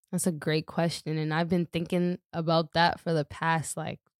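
A woman's fairly low, monotone voice with flat intonation and an American accent, dry and close with no echo, on a very clean recording with a silent background. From Boston, Dorchester. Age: 20s. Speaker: rapper. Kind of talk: casual chat.

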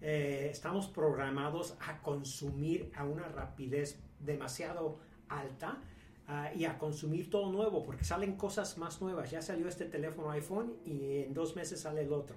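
Over noticeable background noise and audible room echo, a man speaks at a moderate pace in a fairly high pitch with fairly even intonation. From Mexico. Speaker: businessman. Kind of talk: casual chat. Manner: halting.

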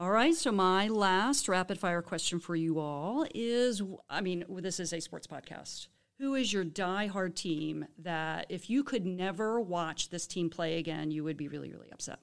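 A plain, everyday voice from a woman, moderate in pace with ordinary pitch variation and hardly any pauses. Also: medium pitch for a woman, very clean recording, silent background. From Baltimore area, US. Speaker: professor and department chair. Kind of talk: casual chat; scripted podcast intro.

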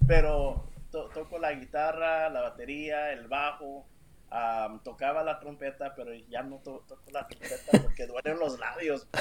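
A man speaks in a fairly high pitch at a fairly slow pace. His loudness swings widely, and background noise is noticeable. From Los Angeles, US, Salvadoran parents. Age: 30s. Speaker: worship musician and real estate agent. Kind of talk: casual interview. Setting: livestream video call.

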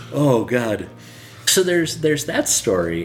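A man takes his time, speaking rather slowly, with background noise clearly present. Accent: American. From Los Angeles, California. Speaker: historian and part-time church worker. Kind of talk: casual interview.

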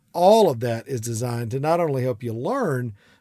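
Dark, mellow tone from a man with a strong Southern US accent. The recording is very clean, with a silent background. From US South, South Georgia. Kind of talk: solo podcast advice monologue. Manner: warm, conversational with frequent laughs.

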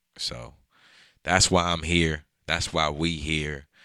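On a very clean recording with a silent background, a man speaks in an American accent at a very deep, low pitch with vocal fry. His tone is bright and sharp, and his intonation stays fairly even. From Prince George's County, Maryland (DC area). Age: 20s. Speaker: podcast host and photographer. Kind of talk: casual solo monologue. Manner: hesitant, many fillers and repetitions.

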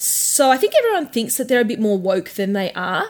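In an Australian accent, a woman talks at a moderate pace in a very clean recording with a silent background. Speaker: sex worker podcast host. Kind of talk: casual chat.

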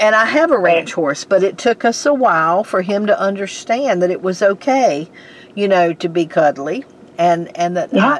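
This woman talks at a moderate pace with a medium pitch and lively intonation. Noticeable background noise runs behind her. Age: 60s. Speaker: podcast host, horse owner. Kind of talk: casual interview.

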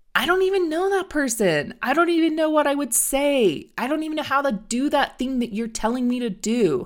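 In a put-on character voice, a woman sounds whiny as she talks at a fairly quick pace with a high pitch and hardly any pauses. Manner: reluctant, complaining.

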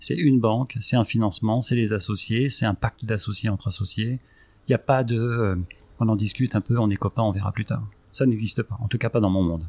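A man talks at a fairly quick pace, his voice somewhat breathy. His pitch is medium and his intonation fairly even, on a very clean recording with a silent background. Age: 40s. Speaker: real estate investor, company director. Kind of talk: interview.

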